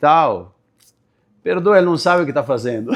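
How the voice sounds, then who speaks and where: A man with lively intonation, in a very clean recording with a silent background. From Serra Gaúcha, Rio Grande do Sul, Brazil (Italian-descended rural area). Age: 50s. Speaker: entrepreneur and association leader. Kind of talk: interview. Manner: calm.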